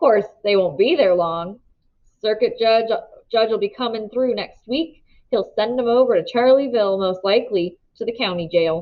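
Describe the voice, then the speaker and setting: A woman puts on a wheezy character voice. It sits at a fairly high pitch and moves at a moderate pace. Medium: read story. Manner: folksy, rambling, drawling.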